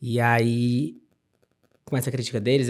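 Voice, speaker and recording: The speaker is a man. His pitch is medium. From Brazil, interior of Ceará. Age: 30s. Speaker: architect. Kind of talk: interview conversation. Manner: animated.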